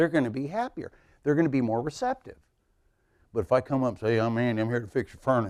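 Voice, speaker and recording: A man's medium-pitched voice at a very fast pace, with long, frequent pauses, big swings in loudness and ordinary pitch variation, on a very clean recording with a silent background. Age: 60s. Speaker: customer service trainer. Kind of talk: conference talk. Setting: stage with audience. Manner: animated.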